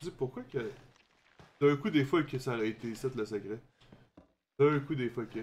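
In a Quebec accent, the speaker keeps a moderate pace with ordinary pitch variation and long, frequent pauses. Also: man, medium pitch for a man. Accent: Québécois French. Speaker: gaming streamer. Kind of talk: let's play commentary. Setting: live stream.

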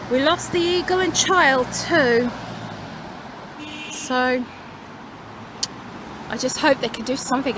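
Over noticeable background noise, with a dry sound and no echo, a woman at a high pitch speaks at a fairly slow pace with ordinary pitch variation and long, frequent pauses. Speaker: vlogger. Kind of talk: casual vlog chat. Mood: regretful, disappointed. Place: street. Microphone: phone near.

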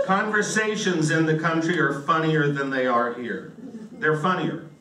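The speaker has an American accent and a moderate pace, with very wide pitch swings. Light background noise and audible room echo are present. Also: man. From US South, western North Carolina. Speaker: comedian. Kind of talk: stand-up. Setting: stage with audience. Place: stage.

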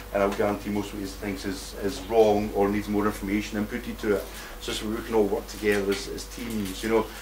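Noticeable background noise sits behind a man talking at a very fast pace. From Scotland. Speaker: conference speaker, activist. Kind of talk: conference talk. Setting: stage with audience. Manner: animated.

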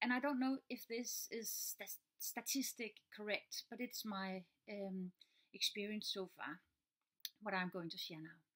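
Against a quiet background, a woman talks at a fairly slow pace. Her pitch variation is ordinary. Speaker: teacher. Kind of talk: casual vlog chat. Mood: earnest, calm explaining. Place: home room. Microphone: webcam.

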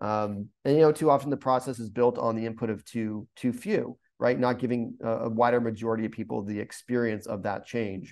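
Over a quiet background, a man with an American accent speaks at a fairly quick pace with hardly any pauses and fairly even intonation. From US Northeast, rural coastal Maine. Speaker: urban planner. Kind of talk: webinar presentation. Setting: video call. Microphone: webcam.

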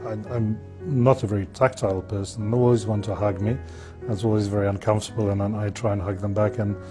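Clear music plays in the background as a man talks at a very fast pace. His pitch is fairly low, with fairly even intonation. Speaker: interviewee. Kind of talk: interview answer. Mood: reflective, candid. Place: studio. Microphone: lapel.

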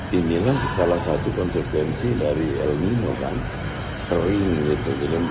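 Loud background noise fills the clip while a man speaks fairly slowly. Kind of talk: interview answer. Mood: serious, admonishing. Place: hall.

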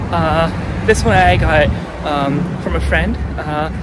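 A man talks with a dry sound and no echo while loud background noise fills the clip. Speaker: vlogger. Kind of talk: casual vlog chat. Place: street. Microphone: phone near.

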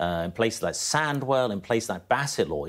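A man speaks with vocal fry and very wide pitch swings over a quiet background. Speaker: interviewee. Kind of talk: interview answer. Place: studio.

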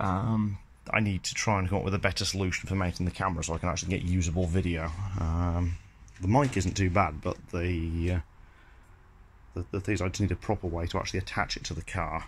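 A man talks at a very fast pace in a very deep, low pitch, somewhat breathy and with fairly even intonation. Light background noise sits behind him. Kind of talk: casual vlog chat. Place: garage. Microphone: phone near.

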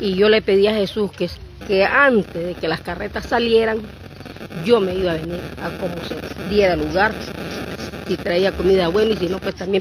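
A woman speaks at a moderate pace with fairly even intonation and long, frequent pauses. The sound is dry with no echo, though noticeable background noise comes through. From Nicaragua. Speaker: pilgrim; interviewee. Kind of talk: testimony. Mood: devout, grateful. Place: open country. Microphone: handheld.

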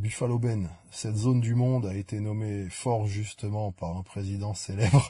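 A man's fairly low, somewhat breathy voice with a dark, mellow tone, a fairly slow pace, and ordinary pitch variation. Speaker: YouTuber answering viewer comments. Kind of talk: casual comment-reading vlog. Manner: hesitant, many fillers.

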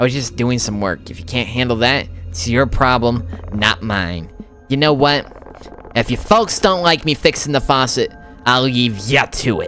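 A nasal, put-on character voice at a moderate pace, over clear music in the background. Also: man, medium pitch for a man. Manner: defensive.

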